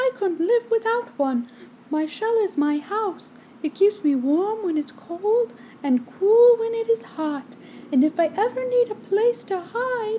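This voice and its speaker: Putting on a squeaky character voice, a woman speaks fairly slowly at an extremely high pitch, her pitch swinging very widely. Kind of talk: bedtime story. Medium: read story.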